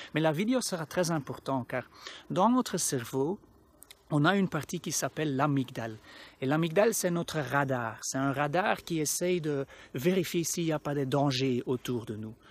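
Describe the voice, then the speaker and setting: The speaker talks at a moderate pace in a Flemish accent, on a very clean recording with a silent background. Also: man, fairly high pitch for a man, lively intonation. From Flanders, Belgium. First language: Dutch (Flemish) (speaking French). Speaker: anxiety coach. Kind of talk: educational talk to camera. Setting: outdoors in a park. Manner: halting, with self-corrections.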